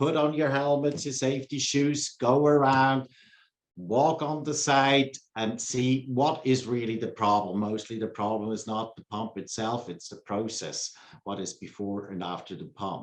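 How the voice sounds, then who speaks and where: The speaker has a Swiss accent, a moderate pace, ordinary pitch variation, and big swings in loudness. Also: man, medium pitch for a man. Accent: non-native English, Swiss. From Switzerland. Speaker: pump company sales engineer. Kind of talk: interview.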